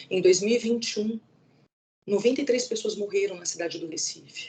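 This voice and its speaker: Ordinary pitch variation in a São Paulo accent. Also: woman. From São Paulo, Brazil. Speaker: law professor. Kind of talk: academic lecture. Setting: video call. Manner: halting, with false starts.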